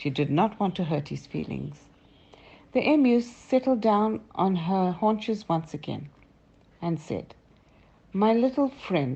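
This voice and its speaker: A woman with a somewhat breathy, dark, mellow tone speaks at medium pitch with very wide pitch swings and long, frequent pauses. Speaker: storyteller grandmother. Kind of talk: children's story reading.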